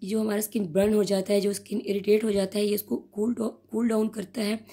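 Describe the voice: This woman's medium-pitched voice has a dark, mellow tone with a slightly husky edge, moving at a fairly quick pace with little pitch movement.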